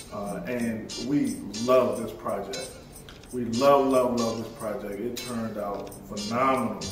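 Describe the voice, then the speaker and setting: A man's voice with audible room echo and clear music in the background. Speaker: construction channel host. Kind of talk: casual vlog chat. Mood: happy and grateful. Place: home room.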